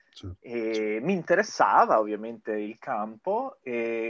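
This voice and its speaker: A man with lively intonation. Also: quiet background. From Italy. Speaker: Italian expat working in China. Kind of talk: interview. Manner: halting.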